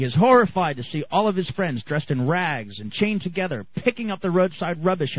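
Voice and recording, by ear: The speaker reads aloud in a natural voice, with intonation that is lively.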